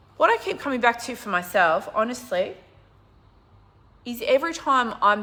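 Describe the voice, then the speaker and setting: Animated female speech against noticeable background noise. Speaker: business coach. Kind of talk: livestream talk to viewers. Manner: fast.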